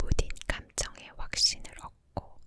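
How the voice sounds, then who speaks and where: A woman whispers very slowly while noticeable noise fills the background. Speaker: ASMR creator. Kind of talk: whispered ASMR book reading. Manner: whispered, soft, slow.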